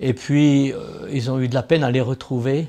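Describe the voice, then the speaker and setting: Moderate pace and a dark, mellow tone from a man at medium pitch. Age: 80s+. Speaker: retired military helicopter pilot. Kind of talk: interview answer, recounting a rescue.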